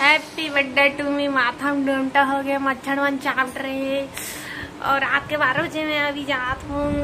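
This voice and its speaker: Amid noticeable background noise, a woman uses a raised, projected voice at a high pitch with monotone, flat intonation. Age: 20s. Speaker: vlogger. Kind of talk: casual vlog chat.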